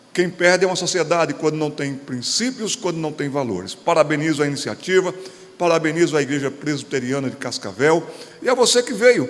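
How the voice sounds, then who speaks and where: Noticeable background noise runs under a man's fairly high voice. He speaks at a fairly quick pace with lively intonation. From Pernambuco, Brazil. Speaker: pastor. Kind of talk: lecture. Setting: stage with audience.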